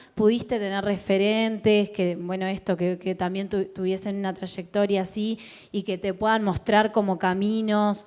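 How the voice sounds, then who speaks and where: A woman talks at medium pitch and a moderate pace, her intonation monotone and flat. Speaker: event host and interviewer. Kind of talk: interview questions.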